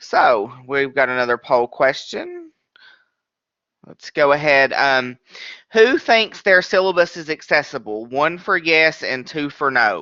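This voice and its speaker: A man's ordinary speaking voice, fairly high in pitch, at a fairly slow pace with lively intonation and big swings in loudness. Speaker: webinar trainer. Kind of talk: training webinar. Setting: online webinar.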